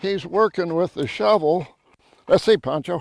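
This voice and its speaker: A high-pitched man with a Texas accent, ordinary pitch variation and a fairly slow pace, in a very clean recording with a silent background and a dry, close sound with no echo. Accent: Texas Southern US. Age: 90s. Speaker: rancher and conservationist. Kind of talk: outdoor tree-planting demonstration. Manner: folksy, conversational.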